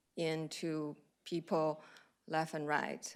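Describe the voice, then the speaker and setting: A woman speaks with a Chinese accent. The recording is very clean, with a silent background. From China. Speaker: cardiologist. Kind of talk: lecture. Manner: hesitant, many fillers.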